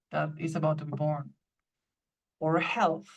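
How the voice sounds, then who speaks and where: A woman speaks with a non-native accent. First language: not English. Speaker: author. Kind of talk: casual chat. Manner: halting, many repetitions.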